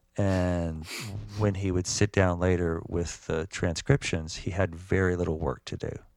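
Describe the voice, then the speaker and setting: A very deep, low-pitched man with an American accent, at a fairly slow pace with ordinary pitch variation, on a very clean recording with a silent background. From US South, Georgia. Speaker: musician and writer. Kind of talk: interview. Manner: halting.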